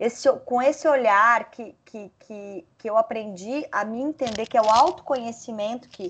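An unremarkable speaking voice from a woman, fairly high in pitch with ordinary variation, at a fairly slow pace over a quiet background. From Santa Catarina, Brazil (Lages). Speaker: media executive. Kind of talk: casual chat.

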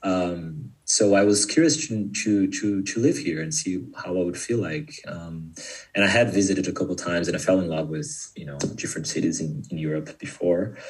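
A man's very deep, low pitch with a Brazilian accent, lively intonation, a moderate pace and hardly any pauses. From Sao Paulo, Brazil. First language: Portuguese. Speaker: guest. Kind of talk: casual interview. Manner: halting.

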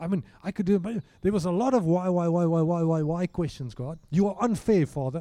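A man talks with a dark, mellow tone at a high pitch. His pace is fairly quick.

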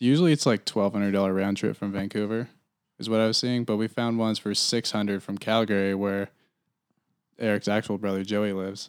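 With an ordinary speaking voice, a man talks at a fairly low pitch and a fairly quick pace with fairly even intonation, in a very clean recording with a silent background. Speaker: guest. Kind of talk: casual chat. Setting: studio.

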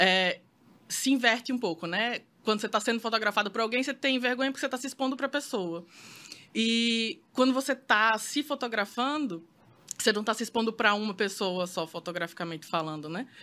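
Over a silent background in a very clean recording, a woman with a bright, sharp tone talks at a fairly quick pace, her fairly high pitch carrying lively intonation. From Brazil, Maceió, Alagoas. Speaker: photographer. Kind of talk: casual interview chat.

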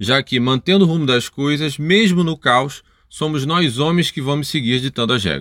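Recorded very cleanly against a silent background, with a dry, close sound and no echo, a man speaks at a fairly high pitch in a bright, sharp tone. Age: middle-aged. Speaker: podcast host. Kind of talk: podcast conversation.

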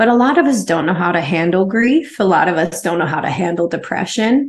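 A woman's normal speaking voice, medium in pitch, with lively intonation. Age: 40s. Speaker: massage therapist and spiritual coach. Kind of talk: interview.

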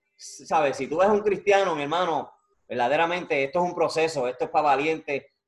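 A man speaks at a fairly quick pace in an ordinary speaking voice. His pitch is fairly high, with ordinary variation. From Puerto Rico. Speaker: YouTube interview show host. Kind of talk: casual interview.

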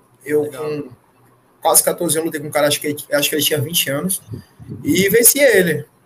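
Talking fairly quickly, a man keeps his pitch variation ordinary. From Brazil, Fortaleza. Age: 20s. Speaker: MMA fighter. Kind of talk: casual interview chat. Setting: live stream podcast.

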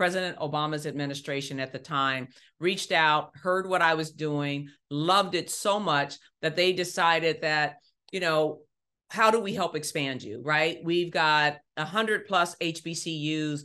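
A woman with an American accent speaks at a moderate pace in a very deep, low voice with a bright, sharp tone and ordinary pitch variation, against a quiet background. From Ohio. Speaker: podcast host. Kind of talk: monologue.

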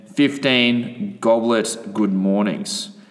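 An upbeat tone and lively intonation over noticeable background noise. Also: man. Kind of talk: fitness class instruction. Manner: brisk, rhythmic, upbeat coach-style delivery, rattling off rep counts; casual, profane, bantering.

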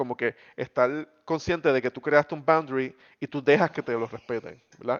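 Here is a man with an ordinary speaking voice, fairly high in pitch, with ordinary pitch variation at a moderate pace. The sound is dry and close with no echo, over a quiet background. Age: 30s. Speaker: podcast co-host. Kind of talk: casual chat.

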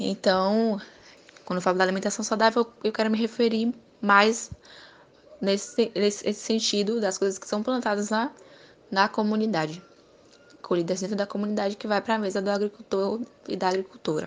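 Speaking at a moderate pace with long, frequent pauses, a woman uses a medium pitch and a monotone, flat intonation. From Bahia, Brazil. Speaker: university student interviewer. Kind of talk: interview.

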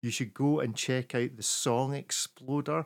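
A man speaks with a Scottish accent at a medium pitch and a moderate pace. The recording is very clean, with a silent background. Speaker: podcast host. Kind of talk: casual chat.

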